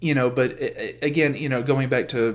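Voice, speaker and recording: An ordinary speaking voice: a man with an American accent, medium pitch, fairly even intonation and a fairly quick pace. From US Deep South. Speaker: aspiring TV writer, podcast co-guest. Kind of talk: casual chat.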